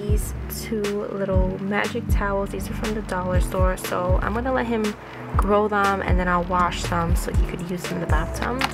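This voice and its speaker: A woman speaks at a moderate pace over loud background music. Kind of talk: casual haul vlog chat. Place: home room.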